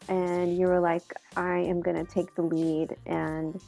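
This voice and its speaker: A woman at a fairly slow pace, music playing behind her. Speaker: executive director of a student and professional association. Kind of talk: casual interview questions.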